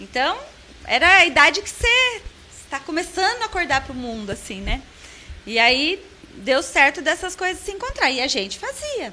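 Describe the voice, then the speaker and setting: A woman uses a raised, projected voice at an extremely high pitch, with very wide pitch swings and big swings in loudness. She talks at a moderate pace with long, frequent pauses, and noticeable background noise is present. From interior of São Paulo state, Brazil. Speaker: franchise school co-owner. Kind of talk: casual interview chat. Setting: studio.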